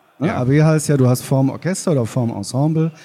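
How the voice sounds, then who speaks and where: A man's ordinary pitch variation carries his moderate-paced speech. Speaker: sound engineer. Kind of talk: interview. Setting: stage with audience.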